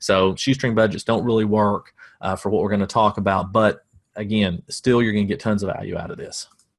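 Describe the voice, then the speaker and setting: The background is quiet as a man with a Southern US accent speaks. His pitch is fairly low and his pace fairly quick. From US South. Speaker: marketing coach. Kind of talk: webinar presentation. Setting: home office. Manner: dry deadpan humor.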